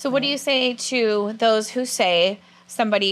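A woman speaks at a fairly high pitch in an American accent. Her pitch varies in an ordinary way. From California. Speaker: student TV show host. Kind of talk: interview; interview questions. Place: studio. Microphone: lapel.

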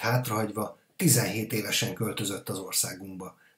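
Somewhat breathy, a man's voice proceeds at a moderate pace. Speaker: podcast host. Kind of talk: interview.

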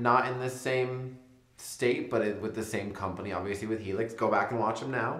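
The pace is moderate. Audible room echo surrounds the voice. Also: man. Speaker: interviewee. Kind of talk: interview answer. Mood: playful, laughing, relaxed. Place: home room.

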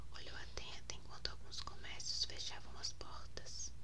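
Whispering, a woman speaks at a fairly slow pace. Noticeable background noise runs underneath. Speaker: author. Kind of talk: ASMR reading of own novel. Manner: whispered. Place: home room.

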